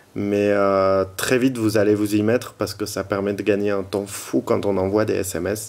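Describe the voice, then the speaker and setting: Over noticeable background noise, a man with a fairly low pitch talks in a monotone, flat intonation. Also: moderate pace. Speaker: tech reviewer and blogger. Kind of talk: product review tutorial. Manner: hesitant, many fillers.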